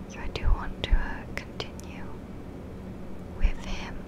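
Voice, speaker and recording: Noticeable background noise accompanies a woman's whisper. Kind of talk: ASMR gameplay commentary. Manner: soft-spoken; slight lisp.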